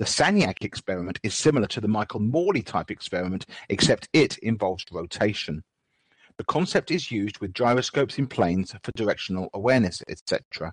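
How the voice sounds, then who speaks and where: Speaking fairly quickly with lively intonation, a man with a plain, everyday voice and medium pitch comes through with a dry, close sound and no echo. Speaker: moderator and host. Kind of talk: Q&A moderating.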